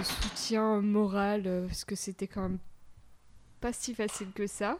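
Her pitch fairly high, the woman keeps her intonation fairly even. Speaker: mother of a toddler. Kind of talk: casual chat. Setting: home recording in host's apartment.

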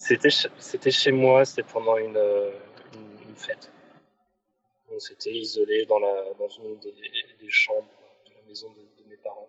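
The speech moves at a very slow pace, with big swings in loudness and long, frequent pauses. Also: man. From rural France. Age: 30s. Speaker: podcast guest. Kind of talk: testimony. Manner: halting.

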